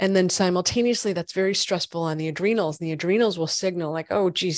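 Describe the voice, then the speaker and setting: A woman with an unremarkable speaking voice talks at a medium pitch and a fairly quick pace, with ordinary pitch variation. The sound is dry and close with no echo, over a quiet background. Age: 40s. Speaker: functional medicine gynecologist. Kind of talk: interview.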